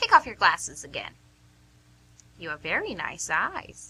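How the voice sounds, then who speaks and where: Using a put-on character voice, a woman speaks with big swings in loudness. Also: moderate pace. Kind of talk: put-on old lady voice. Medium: audio drama.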